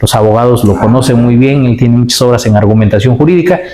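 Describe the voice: A man talks at a fast pace with a medium pitch and ordinary pitch variation. His tone is dark and mellow, and the room echo is audible.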